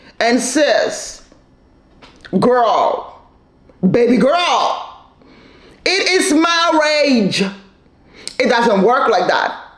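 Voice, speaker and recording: Noticeable noise sits behind a woman with a high voice. Her tone is animated and her intonation lively. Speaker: commentator recapping a reality show. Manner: loud, lots of volume; animated, opinionated.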